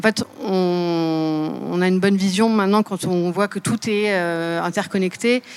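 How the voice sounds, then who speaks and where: A woman at medium pitch with fairly even intonation, at a very slow pace. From Seine-et-Marne, France. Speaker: podcaster and climate consultant. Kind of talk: panel discussion.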